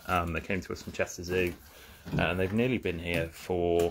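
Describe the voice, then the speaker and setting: A man with a very deep, low, somewhat breathy voice speaks at a fairly quick pace over light background noise. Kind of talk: informal educational talk. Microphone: phone near.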